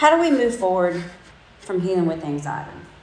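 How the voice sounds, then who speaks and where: A woman speaks at a moderate pace in a medium pitch, her voice swinging very widely in pitch, with audible room echo and noticeable background noise. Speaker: church speaker. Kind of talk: talk to a group.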